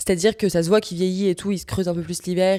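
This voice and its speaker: A woman with a Parisian accent speaks at a medium pitch, her voice recorded dry and close with no echo. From France, Paris. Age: 20s. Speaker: podcast host, equestrian rider. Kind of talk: casual monologue podcast. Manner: casual, with many fillers (euh).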